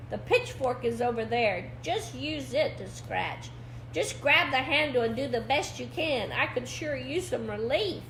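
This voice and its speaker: Someone does a put-on character voice at a moderate pace, with clear background noise. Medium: read story.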